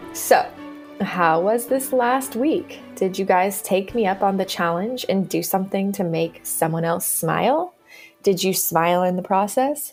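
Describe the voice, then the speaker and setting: A woman at a medium pitch with lively intonation and a fairly slow pace, music in the background. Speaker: podcast host. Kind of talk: podcast intro. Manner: upbeat.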